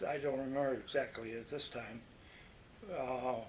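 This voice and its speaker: Here a man talks with a Western New York accent. His pace is moderate. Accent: Western New York American. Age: 90s. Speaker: war veteran. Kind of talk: oral history interview. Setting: nursing home. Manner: halting.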